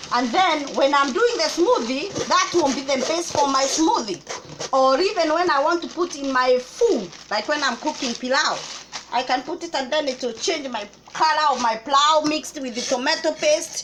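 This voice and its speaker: A high-pitched woman with lively intonation at a moderate pace over noticeable background noise. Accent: Kenyan. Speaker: cooking vlogger. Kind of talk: casual vlog chat.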